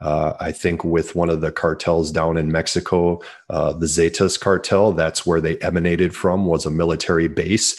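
In an American accent, a man speaks with a very deep, low pitch and a monotone, flat intonation. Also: moderate pace. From Minnesota, US. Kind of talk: interview. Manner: hesitant, filler words.

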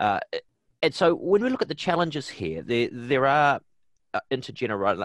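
Against a quiet background, a man with a New Zealand accent is heard in a dry, close sound with no echo. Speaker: podcast host. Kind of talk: interview.

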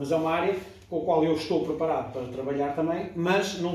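The man talks fairly quickly with fairly even intonation, while room echo is audible and background noise is noticeable. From Portugal, Póvoa de Varzim (from age 10; born in Kinshasa). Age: 40s. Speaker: sports physiotherapist. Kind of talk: interview. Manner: halting, many repetitions.

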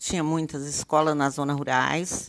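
Speaking at a very slow pace, a woman is heard dry and close with no echo on a very clean recording with a silent background. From Palmeirópolis, Tocantins, Brazil (from age two). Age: 70s. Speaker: elderly local resident, former education official. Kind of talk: interview, life story.

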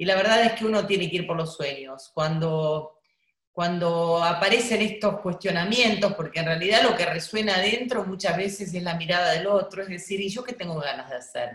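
The pitch is medium and varies in an ordinary way. A woman talks at a moderate pace. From Buenos Aires, Argentina. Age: 50s. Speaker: travel journalist and writer. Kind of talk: interview.

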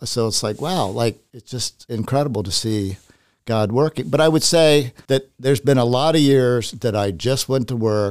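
This man has an American accent and speaks at a fairly slow pace. His pitch varies in an ordinary way. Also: dry, close sound with no echo. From US South family roots. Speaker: architect and property owner. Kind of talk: interview, personal testimony.

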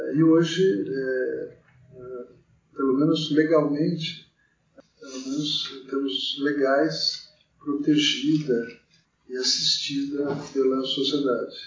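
With audible room echo, a fairly high-pitched man talks at a very slow pace, leaving long, frequent pauses, his intonation fairly even and his loudness swinging widely. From Brazil, São Paulo state (Mogi das Cruzes). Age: 50s. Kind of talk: interview. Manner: hesitant, many fillers.

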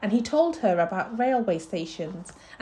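Someone reads aloud plainly. The pitch moves in a lively way.

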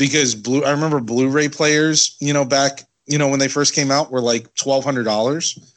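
Against a quiet background, a man with an ordinary speaking voice and a fairly high pitch talks at a moderate pace with hardly any pauses, very even loudness, and fairly even intonation. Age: 30s. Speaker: podcast co-host, toy collector. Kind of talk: casual chat.

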